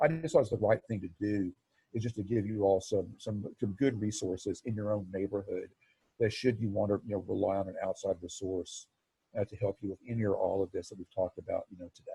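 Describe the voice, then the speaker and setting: Dry and close with no echo, a man speaks very fast in a fairly low, somewhat breathy voice with a dark, mellow tone, fairly even intonation and big swings in loudness. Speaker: marketing agency presenter. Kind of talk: webinar presentation. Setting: video call.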